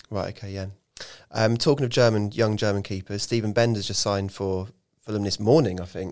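On a very clean recording with a silent background, a man with an English accent talks at a fairly low pitch and a fairly quick pace, with fairly even intonation. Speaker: football club podcast host. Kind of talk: casual chat.

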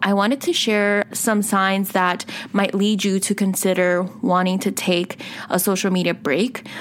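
Over noticeable background noise, a woman's medium-pitched voice holds fairly even intonation and very even loudness. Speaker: podcast host. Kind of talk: solo podcast monologue. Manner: casual with many fillers.

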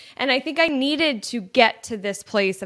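A woman's animated tone at a fairly slow pace. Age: 30s. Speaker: podcast host and entrepreneur. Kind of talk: casual solo monologue.

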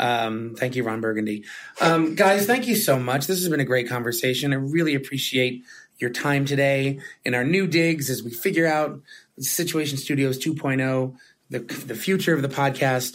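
This man has an ordinary speaking voice with a fairly high pitch. He uses ordinary pitch variation at a moderate pace. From moved to New York as an adult. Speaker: podcast host, head of technology at an agency. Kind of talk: casual chat. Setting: office.

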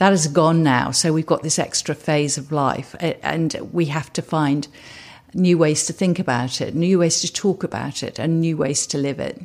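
A woman speaks with a very deep, low pitch. She keeps a moderate pace. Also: ordinary pitch variation. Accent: southern English. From England, Suffolk. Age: 70s. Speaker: entrepreneur. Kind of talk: interview. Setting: in person, Los Angeles.

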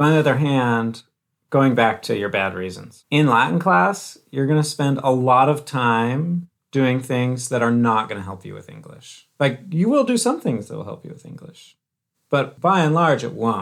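A man talks with an ordinary speaking voice at medium pitch and a moderate pace. His intonation is lively, his loudness swings widely, and the recording is very clean with a silent background. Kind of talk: casual chat.

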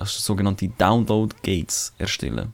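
Very clean recording with a silent background, featuring a man's fairly low-pitched voice. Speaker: podcast co-host. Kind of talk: casual chat.

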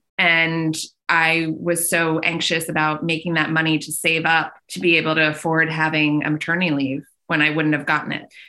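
A woman's very deep, low pitch with a bright, sharp tone, monotone and flat, at a moderate pace, with an American accent. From Long Island, New York. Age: 30s. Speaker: fashion stylist. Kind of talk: casual chat.

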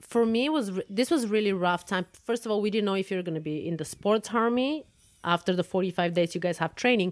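This woman speaks at a very fast pace with lively intonation. She has a Bulgarian accent. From Bulgaria (Plovdiv). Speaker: podcast host, fencing coach. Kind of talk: casual chat.

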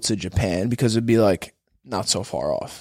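In a very clean recording with a silent background, a man speaks at a moderate pace in a plain, everyday voice with lively intonation. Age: 20s. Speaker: jiu-jitsu athlete. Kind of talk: casual chat.

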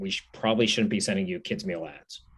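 A man with a Pittsburgh accent talks at a very fast pace, using medium pitch with ordinary pitch variation. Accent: Western Pennsylvania (Pittsburgh). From Pittsburgh, Pennsylvania. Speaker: restaurant chain executive. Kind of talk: interview.

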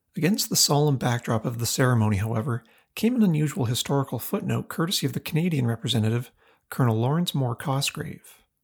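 Over a silent background in a very clean recording, a man with a somewhat breathy, fairly high voice talks very fast, his intonation lively and his loudness very even. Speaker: podcast host. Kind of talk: history documentary narration. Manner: measured, formal, solemn; steady, scripted delivery.

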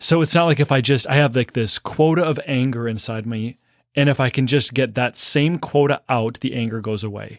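The recording is very clean, with a silent background and a dry, close sound with no echo. A man talks in a normal speaking voice at medium pitch and a moderate pace, with ordinary pitch variation. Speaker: priest. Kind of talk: casual conversation.

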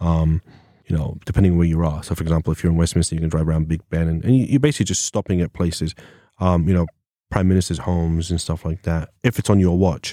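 A man with an English accent speaks at a very fast pace in a very deep, low pitch with a dark, mellow tone and fairly even intonation. The sound is dry and close with no echo, on a very clean recording with a silent background. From England. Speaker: former police officer. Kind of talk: casual interview chat. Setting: studio.

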